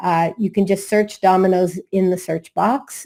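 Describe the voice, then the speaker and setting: A woman with a Massachusetts accent speaks in a dark, mellow tone at medium pitch, on a very clean recording with a silent background. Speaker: attorney. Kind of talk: conference presentation.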